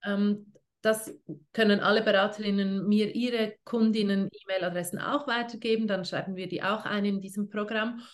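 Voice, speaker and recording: At a moderate pace, a woman with a plain, everyday voice speaks in a medium pitch and fairly even intonation. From Switzerland. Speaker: essential oils network marketing leader. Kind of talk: casual interview.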